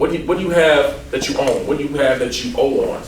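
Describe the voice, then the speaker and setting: A man speaks at a fairly quick pace, with noticeable background noise and audible room echo. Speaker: insurance agent. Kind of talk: seminar presentation. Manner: fast.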